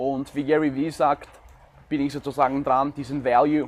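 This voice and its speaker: The man's voice sits fairly high in pitch. He speaks at a fairly slow pace. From Ukraine. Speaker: law student and vlogger. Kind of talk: advice talk to camera.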